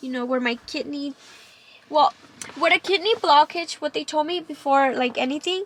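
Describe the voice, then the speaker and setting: Moderate pace with long, frequent pauses, a Spanish accent, ordinary pitch variation, and a dry, close sound with no echo under noticeable background noise. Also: woman, high pitch for a woman. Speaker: vlogger sharing cancer story. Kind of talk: personal testimony vlog. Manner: halting, many fillers.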